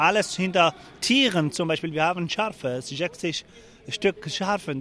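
Speaking with a Kurdish accent, a man uses a high pitch. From Syria, Afrin region (Kurdish). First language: Kurdish (speaking German). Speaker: refugee protester. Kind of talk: interview. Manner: halting.

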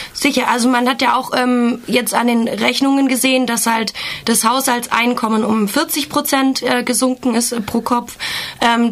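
Through noticeable background noise comes a woman's voice, fairly high in pitch. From Germany. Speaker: activist. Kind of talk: interview. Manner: hesitant, many filler sounds.

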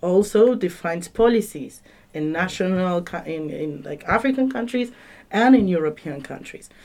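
A woman with a Spanish accent speaks with lively intonation and big swings in loudness. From Argentina. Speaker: conference participant. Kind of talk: radio panel discussion. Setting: studio.

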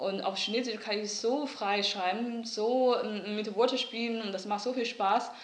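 There is audible room echo and noticeable background noise. A woman with a fairly high pitch speaks at a fairly slow pace with fairly even intonation. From northeast China, Liaoning. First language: Mandarin Chinese (speaking German). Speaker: artist. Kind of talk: interview. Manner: halting, many fillers.

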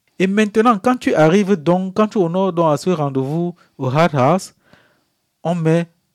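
Heard on a very clean recording with a silent background and a dry, close sound with no echo, a man speaks at a fairly slow pace in a high pitch with ordinary pitch variation. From Africa. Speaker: refugee. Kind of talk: interview testimony. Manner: halting.

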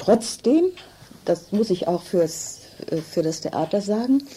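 A woman's medium-pitched voice at a very slow pace, with lively intonation and noticeable background noise. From northern Germany (Hannover). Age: 80s+. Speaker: contemporary witness, theatre scholar. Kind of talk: interview testimony.

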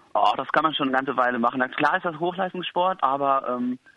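Talking at a fairly quick pace, a man with a plain, everyday voice keeps a medium pitch with ordinary pitch variation. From rural Germany. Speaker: musical performer. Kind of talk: interview. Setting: phone call.

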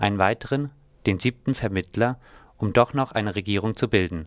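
A man with a normal speaking voice talks at a moderate pace in a very clean recording with a silent background and a dry, close sound with no echo. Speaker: news presenter. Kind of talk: news reading. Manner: formal, even, matter-of-fact newsreader delivery.

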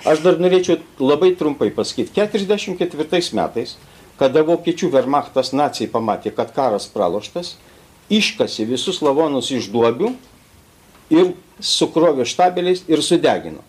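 The intonation here is lively. Vocal fry shows in the voice. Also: man, fairly high pitch for a man, moderate pace. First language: Lithuanian (speaking German). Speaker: rescuer and witness. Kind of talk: testimony. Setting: school auditorium with audience.

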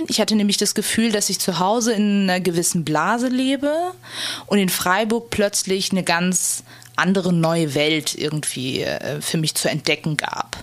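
Noticeable background noise sits behind a woman of medium pitch who talks at a moderate pace with lively intonation and very even loudness. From Germany, Turkish family. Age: 20s. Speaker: interviewee. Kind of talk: interview testimony.

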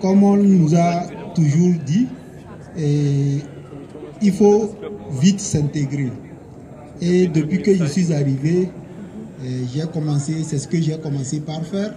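Amid noticeable background noise and audible room echo, a man talks at a very slow pace with long, frequent pauses and ordinary pitch variation. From Togo. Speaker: asylum seeker. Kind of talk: testimony. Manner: halting.

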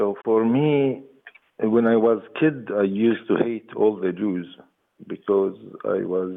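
A man speaks very slowly with an Arabic accent. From West Bank, Jericho. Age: 40s. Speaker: peace activist. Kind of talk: interview.

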